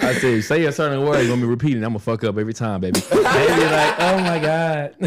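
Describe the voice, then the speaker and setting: A man's fairly high voice races at a very fast pace while noticeable background noise runs underneath. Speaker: podcast co-host. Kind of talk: casual chat. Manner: halting, repeats words.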